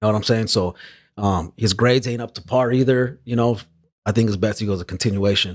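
A man speaks fairly quickly with fairly even intonation in a very clean recording with a silent background. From Los Angeles area, California. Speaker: rapper. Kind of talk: casual chat.

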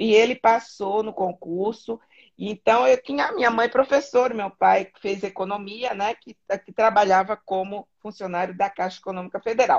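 Here is a woman with an unremarkable speaking voice at medium pitch and a moderate pace. Her pitch varies in an ordinary way, while her loudness swings a lot. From southern Brazil, Florianópolis. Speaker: interview guest. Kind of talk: casual interview.

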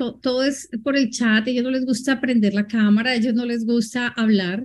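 High-pitched female voice, its intonation fairly even. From Colombia. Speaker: moderator, IT executive. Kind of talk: moderating a webinar.

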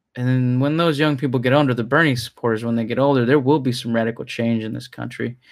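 Recorded very cleanly against a silent background, a man talks at a medium pitch with fairly even intonation. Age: 30s. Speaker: news podcast host. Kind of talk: news commentary. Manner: halting.

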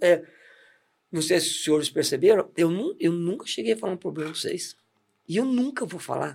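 Here a man speaks at a high pitch with lively intonation. His pace is moderate. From Santos, São Paulo, Brazil. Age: 40s. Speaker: church deacon. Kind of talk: testimony. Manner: animated.

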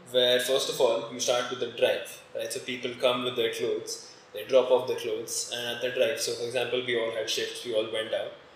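The man keeps a moderate pace. You can notice background noise in the recording. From India, Gurgaon. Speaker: podcast host. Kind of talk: casual interview.

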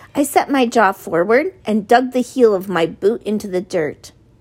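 Lively intonation in an unforced reading voice

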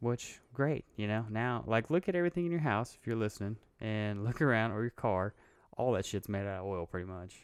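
A man with an unremarkable speaking voice and fairly low pitch talks at a fairly quick pace with lively intonation, the sound dry and close with no echo. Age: 30s. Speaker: podcast co-host. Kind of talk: casual chat.

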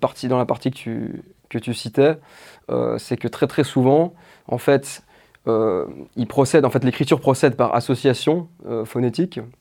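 Using a dark, mellow tone with vocal fry, a man speaks at a medium pitch and a fairly slow pace, with long, frequent pauses. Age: 20s. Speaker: doctoral student in French literature and video maker. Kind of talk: interview. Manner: hesitant, many fillers and repetitions.

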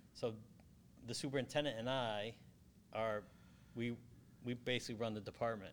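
Here a man with an American accent speaks at medium pitch in a monotone, flat delivery. His pace is fairly quick, broken by long, frequent pauses. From Connecticut, US (Southington). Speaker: water utility manager. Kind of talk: interview. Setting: remote studio at a conference. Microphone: too far from the microphone at first.

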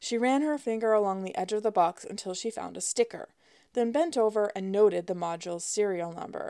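A natural reading voice carries the whole recording.

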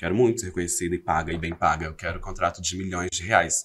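A man talks at a fairly quick pace with a very deep, low pitch and fairly even intonation. The recording is very clean, with a silent background. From Brazil, Belo Horizonte (Minas Gerais). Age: 30s. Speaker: social media content creator. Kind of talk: casual chat interview.

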